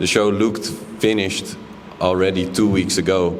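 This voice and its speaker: Over noticeable background noise and audible room echo, a man speaks at a moderate pace in a very deep, low pitch with monotone, flat intonation. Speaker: exhibiting artist. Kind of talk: panel discussion. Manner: halting, many fillers and repetitions.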